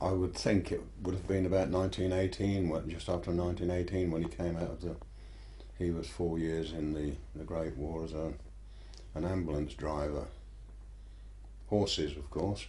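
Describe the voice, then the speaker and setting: With a rural Buckinghamshire accent, this speaker has a dark, mellow tone with vocal fry, ordinary pitch variation, a moderate pace and long, frequent pauses, heard with audible room echo. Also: man, very deep, low pitch for a man. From Buckinghamshire, southern England. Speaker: local history interviewee. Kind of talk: oral history interview. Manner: hesitant, with repetitions.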